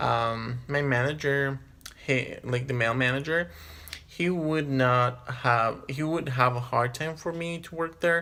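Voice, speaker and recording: With a non-native accent and a bright, sharp tone, a man speaks fairly slowly at medium pitch with ordinary pitch variation. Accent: has a non-native. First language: not English. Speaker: vlogger. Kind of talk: personal storytelling monologue. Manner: hesitant, many fillers.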